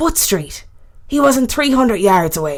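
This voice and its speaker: Putting on a gruff character voice with an Irish accent, a woman speaks at a high pitch and a moderate pace with very wide pitch swings. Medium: read story. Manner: gruff, offhand.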